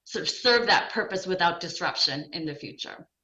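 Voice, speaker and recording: Speaking at a fairly quick pace, a woman has a medium pitch and a bright, sharp tone. Audible room echo surrounds her voice. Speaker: development bank education specialist. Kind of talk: conference presentation. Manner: fast.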